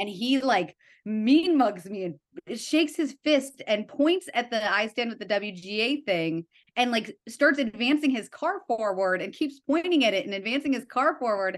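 At a moderate pace, a woman speaks with a fairly high pitch and very wide pitch swings. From US Midwest, Evanston near Chicago. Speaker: TV writer and art director. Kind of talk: casual interview chat.

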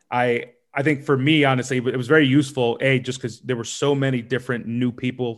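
Medium-pitched man in a normal speaking voice, fairly quick pace and fairly even intonation, against a quiet background. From US, New York City. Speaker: podcast host. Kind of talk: casual interview.

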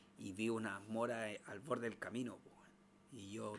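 Here a man speaks in a Chilean accent. He keeps a moderate pace. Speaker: podcast co-host. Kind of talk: casual chat.

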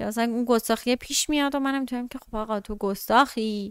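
With a plain, everyday voice, a woman speaks at a moderate pace with ordinary pitch variation, the sound dry and close with no echo. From Iran, Tehran. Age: 20s. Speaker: podcast guest. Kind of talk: casual chat.

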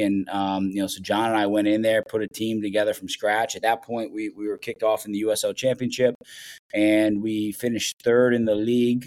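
A man speaks in a monotone with flat intonation. The sound is dry and close, with no echo. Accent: Midwestern. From Ohio, US Midwest. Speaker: professional soccer head coach. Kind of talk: casual interview chat.

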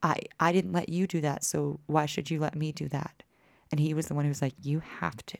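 Vocal fry runs through a woman's very deep, low voice, which has ordinary pitch variation. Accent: American. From Texas (Austin, Dallas). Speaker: bluegrass musician. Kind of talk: casual chat. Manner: animated.

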